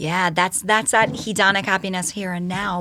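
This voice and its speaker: A woman speaks in a New York accent at a moderate pace and medium pitch. Her tone is bright and sharp, her intonation monotone and flat. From New York (Yonkers). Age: 40s. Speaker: educator and speaker. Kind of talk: casual chat.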